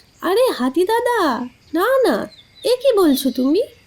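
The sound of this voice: Using a cartoonish character voice, a woman speaks at a fairly slow pace with an extremely high pitch, big pitch swings and a slightly mellow tone.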